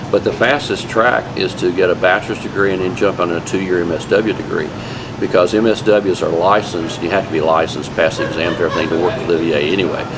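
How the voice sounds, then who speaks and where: Over noticeable background noise and audible room echo, a man with a very deep, low pitch talks at a very fast pace with ordinary pitch variation. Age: 60s. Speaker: veterans' mental health professional. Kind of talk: interview answers, casual advice. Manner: conversational, informal with fillers.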